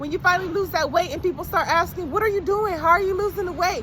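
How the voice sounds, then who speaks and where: Noticeable background noise is present. The voice belongs to a woman. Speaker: motivational speaker. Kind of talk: motivational pep talk to camera. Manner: encouraging.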